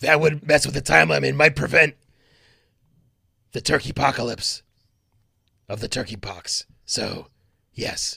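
Using a put-on character voice, a man speaks raspily with long, frequent pauses. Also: medium pitch for a man, moderate pace, lively intonation, big swings in loudness. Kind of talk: comic overacting. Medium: actual play. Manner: brash, eager.

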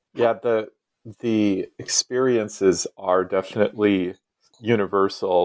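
An ordinary speaking voice from a man with an American accent, fairly low in pitch, in dry, close sound with no echo. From US Midwest, Iowa. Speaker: author and former priest. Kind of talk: interview.

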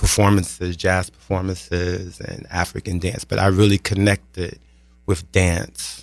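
On a very clean recording with a silent background, a man with a very deep, low pitch speaks at a moderate pace in a monotone, flat intonation. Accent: New York. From New York (Brooklyn), Guyanese parents. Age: 40s. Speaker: personal trainer and army veteran. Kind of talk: casual interview.

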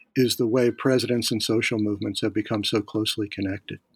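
A man speaks at a fairly quick pace in a very clean recording with a silent background and a dry, close sound with no echo. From US Northeast, Philadelphia. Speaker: political science professor. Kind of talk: academic interview. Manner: halting, many fillers and repeats.

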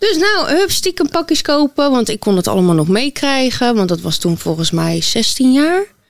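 A woman's high-pitched voice with very wide pitch swings, hardly any pauses and very even loudness. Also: moderate pace. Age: 20s. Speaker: model and influencer. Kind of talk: interview testimony.

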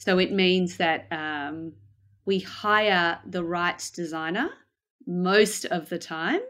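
With an Australian accent, a woman speaks very slowly at a fairly low pitch and with fairly even intonation. Her recording is very clean, with a silent background. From Australia, Melbourne. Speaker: design operations manager. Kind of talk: interview.

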